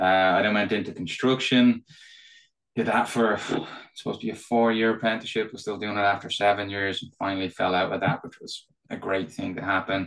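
With an Irish accent, a man talks at a fairly quick pace in a fairly low pitch, his intonation fairly even. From Ireland. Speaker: tech company executive guest. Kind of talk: casual interview chat.

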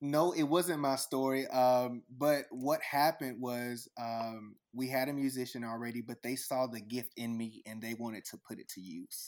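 An ordinary speaking voice from a man with an American accent, medium in pitch with ordinary pitch variation, at a moderate pace with hardly any pauses. His loudness swings widely on a very clean recording with a silent background. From Texas. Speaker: YouTube music reactor. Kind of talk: casual interview chat.

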